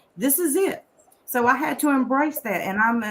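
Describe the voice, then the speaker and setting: A woman talks at a moderate pace with a Southern US accent. Her intonation is lively. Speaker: author and conference speaker. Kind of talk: personal story on a talk show. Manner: casual, conversational.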